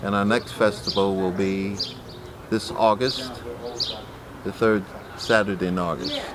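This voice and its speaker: With noticeable background noise, a man with a fairly low pitch talks in a relaxed tone at a fairly slow pace, leaving long, frequent pauses. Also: ordinary pitch variation. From US Midwest, Columbus, Ohio. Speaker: artist and community elder. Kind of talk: interview. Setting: gallery. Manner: relaxed, hesitant with many fillers.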